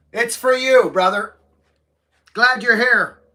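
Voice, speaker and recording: Shouting in a raised, projected voice, a man with an extremely high pitch and a bright, sharp tone speaks at a very slow pace with ordinary pitch variation. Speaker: livestreamer, tree climber/arborist. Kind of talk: casual live stream chat reading comments. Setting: livestream from home. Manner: loud, shouting; animated.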